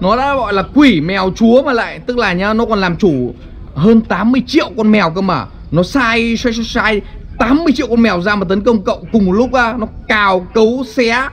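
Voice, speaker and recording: With faint music in the background, a man talks at a moderate pace in a high pitch with ordinary pitch variation. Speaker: video creator. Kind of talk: animated storytelling vlog chat. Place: waterside. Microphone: phone near.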